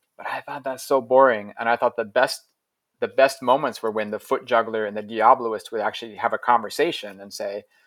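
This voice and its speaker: Speaking at a fairly quick pace with a Midwestern accent, a man shows ordinary pitch variation in a very clean recording with a silent background and a dry, close sound with no echo. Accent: American Midwest. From US Midwest (Ohio). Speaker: juggler and circus teacher. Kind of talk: interview conversation.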